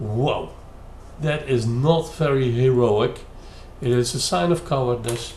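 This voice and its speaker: A man with a Dutch accent speaks at a medium pitch, leaving long, frequent pauses. Background noise is noticeable and the room echo is audible. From Netherlands. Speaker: YouTube commentator. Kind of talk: critical commentary. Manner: hesitant, many fillers.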